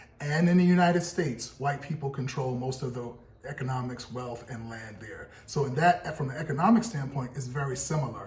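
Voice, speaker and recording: Heard with audible room echo and noticeable background noise, a man with an American accent speaks at a fairly quick pace in a fairly high pitch, using ordinary pitch variation. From US, Brooklyn, New York. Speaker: podcast co-host, real estate broker. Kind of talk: casual discussion.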